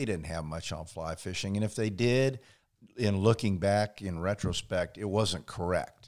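A man speaks with an American accent in a plain, everyday voice. His pitch is fairly low and his pace moderate. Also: ordinary pitch variation, very clean recording, silent background. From Indiana. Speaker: fly-fishing instructor. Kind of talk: casual interview. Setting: living room.

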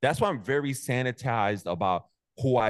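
In a New York accent, a man speaks at a fairly quick pace with ordinary pitch variation, the sound dry and close with no echo against a quiet background. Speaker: motivational content creator. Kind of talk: casual chat. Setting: video call. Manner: animated.

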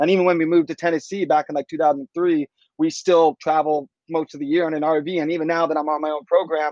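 A man with a fairly high pitch talks very fast. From Washington D.C., US. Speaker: extreme kayaker. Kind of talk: interview, casual chat.

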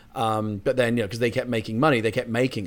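Speaking very fast with a British accent, a man keeps a medium pitch and a monotone, flat intonation on a very clean recording with a silent background. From Britain. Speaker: screenwriter. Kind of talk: casual chat.

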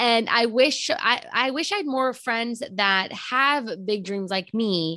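Very slow yet with hardly any pauses, a woman with a Texan accent speaks at a fairly high pitch in a bright, sharp tone with lively intonation. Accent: Texan American. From Texas. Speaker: podcast host. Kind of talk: casual interview. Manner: talkative.

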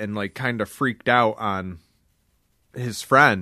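At a fairly slow pace, a man talks in a medium-pitched voice with a bright, sharp tone. His pitch varies in an ordinary way. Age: 30s. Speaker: podcast co-host. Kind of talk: casual chat. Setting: video call.

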